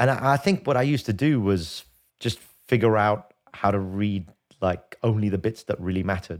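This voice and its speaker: Speaking fairly quickly with a London accent, a man keeps a fairly low pitch with ordinary pitch variation. His loudness is very even, and the recording is very clean with a silent background. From London, England. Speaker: podcast co-host, leadership consultant. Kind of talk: casual chat. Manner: halting.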